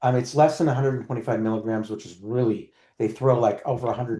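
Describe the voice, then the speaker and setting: A man speaks at a very fast pace. His tone is dark and mellow, with ordinary pitch variation. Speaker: nutritionist. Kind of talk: casual chat.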